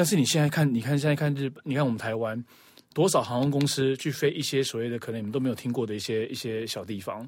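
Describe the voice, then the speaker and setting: Speech rushes along at a very fast pace with ordinary pitch variation. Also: man, medium pitch for a man. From Taiwan. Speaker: podcast guest. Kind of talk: casual chat.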